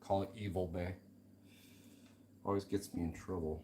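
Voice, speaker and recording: A man speaks with a somewhat breathy voice. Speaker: slot car hobbyist streaming a build. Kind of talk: casual live-stream chat while working. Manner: mumbling to himself at times.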